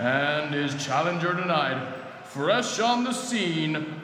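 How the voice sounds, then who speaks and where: Over noticeable background noise, a man's voice swings very widely in pitch. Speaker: parent narrator. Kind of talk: children's story narration, audiobook style.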